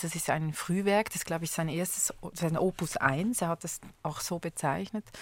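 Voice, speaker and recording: Here is a woman with an ordinary speaking voice and fairly low pitch. She keeps a moderate pace and fairly even intonation on a very clean recording with a silent background. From Switzerland. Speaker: conductor and music educator. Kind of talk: radio interview. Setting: studio.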